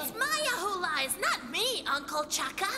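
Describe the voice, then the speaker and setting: A cartoonish character voice moves at a moderate pace over loud background noise. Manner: cheerful, eager.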